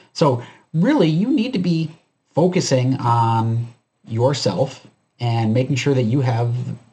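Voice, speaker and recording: A man speaks in a somewhat breathy way at a fairly slow pace. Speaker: preparedness YouTuber. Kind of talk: commentary video monologue. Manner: casual, filler-heavy.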